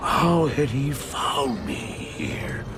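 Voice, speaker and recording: Amid loud background noise, a man performs a put-on character voice. His pitch sits fairly high. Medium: short film. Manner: stammering, frightened.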